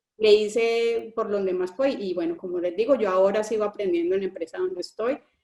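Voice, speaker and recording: Music plays in the background as a woman talks at a fairly quick pace with ordinary pitch variation. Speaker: engineer describing work abroad. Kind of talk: panel interview on live stream. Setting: online live stream. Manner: halting, many repetitions and fillers.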